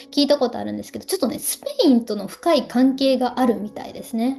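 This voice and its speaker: With music in the background, a woman speaks at a high pitch. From Ehime, Shikoku, Japan. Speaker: Japanese language teacher and culture vlogger. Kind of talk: casual talk to camera.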